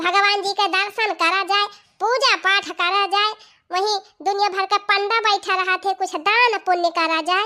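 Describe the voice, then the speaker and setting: A woman speaks in a cartoonish character voice with an extremely high pitch. Her pace is moderate. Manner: chatty.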